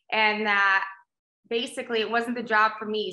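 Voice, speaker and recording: A woman's fairly high, bright, sharp voice with an American accent, at a fairly quick pace, with audible room echo. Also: quiet background. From South Texas, Rio Grande Valley; Texas. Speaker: agricultural show host and magazine publisher; agricultural show host. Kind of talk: casual interview chat. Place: home room. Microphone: video call.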